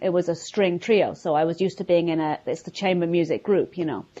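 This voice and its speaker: A woman speaks at a very fast pace in a London accent. Her pitch is fairly low. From London, England. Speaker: violinist. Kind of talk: casual interview. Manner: halting.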